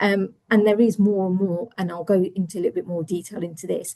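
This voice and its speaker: A woman with an English accent speaks at a fairly quick pace in a dark, mellow, somewhat breathy tone, keeping her intonation fairly even. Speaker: internal audit director. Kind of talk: webinar presentation. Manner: fast.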